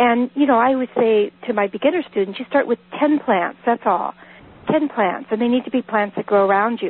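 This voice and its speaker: Speaking with an American accent, a woman has a high pitch and ordinary pitch variation. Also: moderate pace. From Northern California. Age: 50s. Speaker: herbalist and author. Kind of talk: live radio interview.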